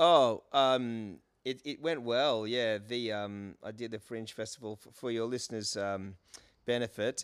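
Recorded very cleanly over a silent background, a man with an Australian accent speaks at medium pitch and a fairly slow pace, with ordinary pitch variation and big swings in loudness. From Australia, Brisbane. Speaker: comedian and musical performer. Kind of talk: casual chat.

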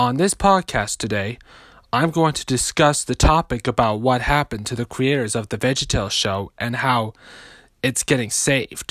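A man with an ordinary speaking voice, medium pitch and ordinary pitch variation at a moderate pace, in a dry, close sound with no echo. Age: 20s. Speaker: podcaster. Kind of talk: monologue.

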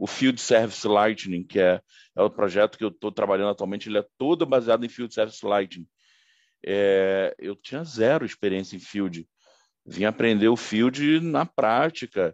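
Dry and close with no echo, a man talks at a moderate pace with lively intonation. His fairly low pitch belongs to a normal speaking voice. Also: quiet background. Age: 40s. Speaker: IT consultant, former sales manager. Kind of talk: interview.

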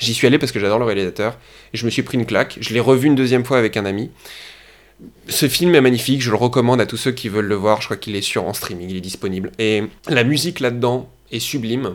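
Here a man talks at a very fast pace. His voice has medium pitch and ordinary pitch variation. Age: 20s. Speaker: actor and playwright. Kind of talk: casual interview. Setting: podcast interview. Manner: animated.

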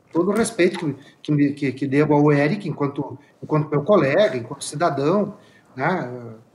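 This man's voice is somewhat breathy. He delivers his words at a moderate pace. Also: fairly high pitch for a man, ordinary pitch variation. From Caxias do Sul, Rio Grande do Sul. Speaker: state legislator. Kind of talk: political debate. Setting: remote video link.

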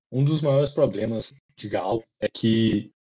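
The voice is somewhat breathy. Its pace is fairly slow. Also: man, dry, close sound with no echo. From small town in Minas Gerais, Brazil. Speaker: podcast co-host, physics student. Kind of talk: casual chat.

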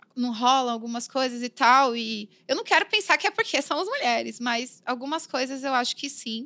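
Projecting her raised, high voice, a woman speaks at a moderate pace with hardly any pauses. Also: ordinary pitch variation. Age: 30s. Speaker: graffiti artist and illustrator. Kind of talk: casual interview. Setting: studio.

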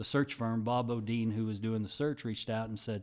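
An unremarkable speaking voice from a man with an American accent, medium in pitch and at a fairly quick pace, on a very clean recording with a silent background. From Texas (Dallas area, Sherman). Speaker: university athletic director. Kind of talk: interview.

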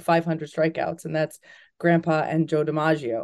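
Dark and mellow in tone, this woman's voice sits at a fairly low pitch. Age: 40s. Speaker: documentary producer and sports journalist. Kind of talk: interview.

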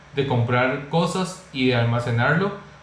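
A man speaks at a fairly slow pace. Noticeable background noise and audible room echo fill the recording. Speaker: YouTube channel host. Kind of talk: online interview.

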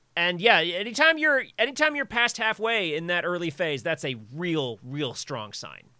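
Speaking in an American accent at a moderate pace, a bright, sharp voice swings very widely in pitch with hardly any pauses. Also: man, high pitch for a man. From US South, rural suburbs of Virginia. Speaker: comic artist and software engineer. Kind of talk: casual chat. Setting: live stream.

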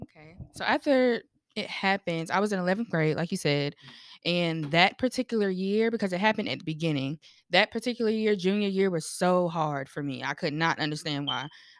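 A woman with an American accent in an ordinary speaking voice, medium pitch and fairly quick pace, on a very clean recording with a silent background. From North Carolina. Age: 20s. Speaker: creative. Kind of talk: casual chat.

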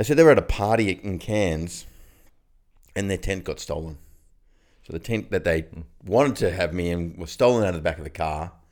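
On a very clean recording with a silent background, a man with an Australian accent speaks in a very deep, low pitch at a fairly quick pace with ordinary pitch variation and long, frequent pauses. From Australia, far north Queensland. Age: 40s. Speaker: podcast co-host. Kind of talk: casual chat. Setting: studio.

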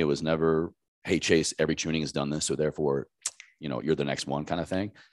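A very deep, low-pitched man's voice with an American accent. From Southwest Virginia, US South. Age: 30s. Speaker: health coach, army veteran. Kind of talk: casual interview.

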